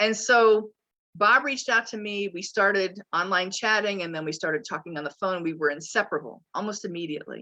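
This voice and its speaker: The voice moves at a fairly quick pace with a bright, sharp tone and ordinary pitch variation. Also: woman. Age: 60s. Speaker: minister. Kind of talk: sermon.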